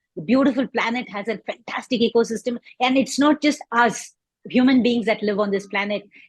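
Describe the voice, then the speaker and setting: The sound is dry and close with no echo. A woman speaks in a fairly high pitch, somewhat breathy. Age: 60s. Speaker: composting advocate. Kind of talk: interview.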